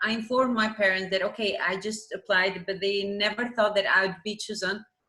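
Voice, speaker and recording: A woman's fairly high voice, bright and sharp in tone, with an Albanian accent. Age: 20s. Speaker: math teacher. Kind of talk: interview.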